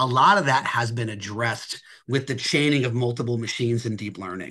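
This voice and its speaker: Fairly quick and bright, sharp in tone, a man talks with an American accent. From Philadelphia, US Northeast. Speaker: technology advisor. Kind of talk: Q&A answer in webinar town hall.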